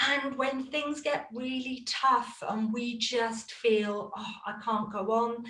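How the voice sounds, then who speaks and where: A woman with a British accent speaks at a very slow pace and a fairly high pitch, with ordinary pitch variation and audible room echo. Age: 50s. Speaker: coaching student and former belly dance teacher. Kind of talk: interview.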